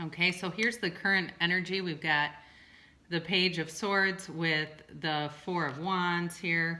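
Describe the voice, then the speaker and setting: A woman speaks with a strong Midwestern US accent. Her intonation stays fairly even. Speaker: tarot reader and licensed therapist. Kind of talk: tarot reading video. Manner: casual, with many fillers.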